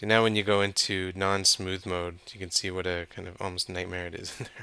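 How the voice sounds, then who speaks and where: Over a silent background in a very clean recording, a man mumbles at a fairly quick pace in a very deep, low pitch with a bright, sharp tone, a monotone, flat intonation and big swings in loudness. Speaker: 3D modeling instructor. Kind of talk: tutorial. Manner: mumbling; casual, thinking aloud.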